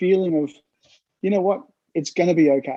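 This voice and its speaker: A man's voice is high in pitch, with a dark, mellow tone. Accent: Australian. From Australia. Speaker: sports fan. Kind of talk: interview.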